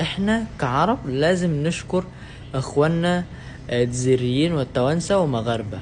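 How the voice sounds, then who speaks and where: A man with an Indonesian accent speaks at a moderate pace with lively intonation. Noticeable background noise can be heard. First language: Indonesian (speaking Arabic). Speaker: language learner vlogger. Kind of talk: casual talk to camera. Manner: halting, many filler sounds.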